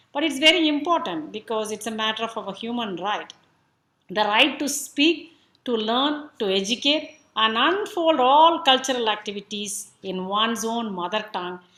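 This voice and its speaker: A woman with a Tamil accent uses lively intonation, her fairly high voice bright and sharp in tone. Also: moderate pace, very clean recording, silent background. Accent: Tamil Indian. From South India, Tamil. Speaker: speaker at a cultural event. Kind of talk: talk on language and identity.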